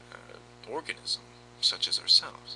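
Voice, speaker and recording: Whispering, a man speaks over noticeable background noise. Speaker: YouTube vlogger. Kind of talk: casual philosophical monologue. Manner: hesitant.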